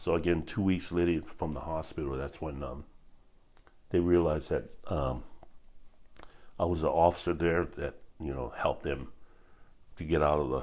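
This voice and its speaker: A man's very deep, low voice in a Hawaiian accent, with vocal fry, fairly even intonation, a moderate pace and long, frequent pauses. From Hawaii, west side of Oahu. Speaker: retired police officer. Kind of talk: interview testimony. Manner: halting, many fillers.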